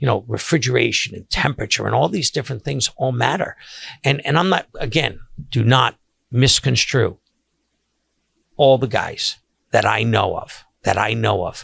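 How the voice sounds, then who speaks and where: Man with vocal fry, medium pitch, and ordinary pitch variation, long, frequent pauses, a very clean recording with a silent background, and dry, close sound with no echo. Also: moderate pace. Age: 60s. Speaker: seafood caterer and podcast host. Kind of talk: casual monologue podcast. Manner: halting, many fillers and restarts.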